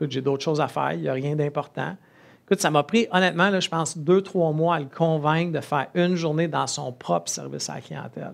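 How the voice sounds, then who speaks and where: Speaking with a Quebec accent, a man talks at a fairly quick pace and fairly high pitch with fairly even intonation, hardly any pauses and big swings in loudness. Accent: Québécois French. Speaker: entrepreneur and conference speaker. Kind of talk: conference talk. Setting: stage with audience.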